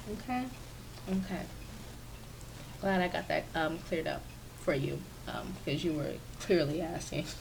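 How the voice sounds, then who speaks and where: There is audible room echo as a woman speaks at a moderate pace, with long, frequent pauses. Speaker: gaming YouTuber. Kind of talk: voiceover commentary for a build video. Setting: home office. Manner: casual, filler-heavy.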